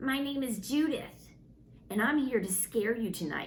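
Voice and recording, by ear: In a put-on character voice, a female-sounding speaker growls at a fairly high pitch and a moderate pace, with clear background noise behind her.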